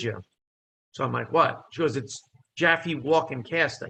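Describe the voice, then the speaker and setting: A man speaks with a New Jersey accent. His tone is bright and sharp, with vocal fry. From New Jersey, Italian immigrant family. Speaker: comedian and actor. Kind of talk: casual chat. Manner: animated.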